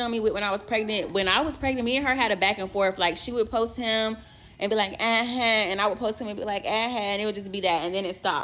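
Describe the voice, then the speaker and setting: A loud, very fast woman's voice, fairly high in pitch, bright and sharp in tone, animated, with hardly any pauses. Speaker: storyteller. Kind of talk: storytime.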